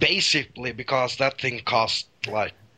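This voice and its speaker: A man's medium-pitched voice with a Norwegian accent, over noticeable background noise. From Norway. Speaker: caller. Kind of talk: casual chat.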